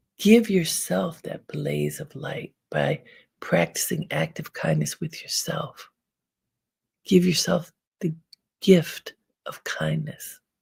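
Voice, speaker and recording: With an American accent, a woman talks at a very slow pace, pausing long and often. Her loudness swings widely. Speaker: meditation teacher reading audience comments.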